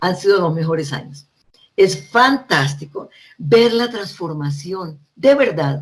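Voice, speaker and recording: A woman's fairly low, somewhat breathy voice at a very slow pace, with very wide pitch swings. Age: 70s. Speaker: librarian and education consultant. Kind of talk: talk.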